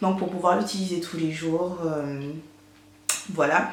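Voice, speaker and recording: Recorded with noticeable background noise and audible room echo, a woman speaks at a fairly slow pace. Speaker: beauty vlogger. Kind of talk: product haul review. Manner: many fillers and hesitations.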